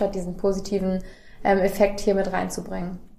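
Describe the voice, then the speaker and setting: Amid noticeable background noise and audible room echo, a woman speaks at medium pitch and a moderate pace, monotone with flat intonation. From Germany, Göttingen area. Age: 20s. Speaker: recruiter. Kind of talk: interview. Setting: on-site at company, noisy venue nearby.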